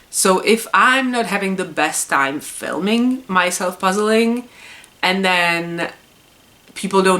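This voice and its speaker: A woman with a Czech accent speaks at a medium pitch and a fairly slow pace, her intonation lively. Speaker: puzzle YouTuber. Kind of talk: casual vlog monologue. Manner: hesitant, many fillers.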